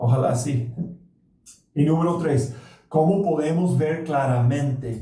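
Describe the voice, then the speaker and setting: Speaking very slowly with a non-native accent, a man with a fairly high pitch and a dark, mellow, somewhat breathy tone uses ordinary pitch variation while the room echo is audible. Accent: foreign accent in Spanish. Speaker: pastor. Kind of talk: sermon. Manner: halting.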